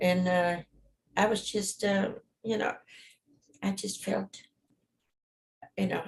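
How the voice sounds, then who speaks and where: A somewhat breathy woman in a German accent at a medium pitch and fairly slow pace, with fairly even intonation and long, frequent pauses. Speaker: witness in probate hearing. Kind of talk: court testimony. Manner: halting.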